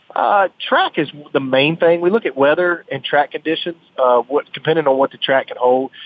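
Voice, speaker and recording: A man with a fairly high pitch speaks in a Southern US accent, with ordinary pitch variation and big swings in loudness. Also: moderate pace. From North Carolina. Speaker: drag racer. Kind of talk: radio interview.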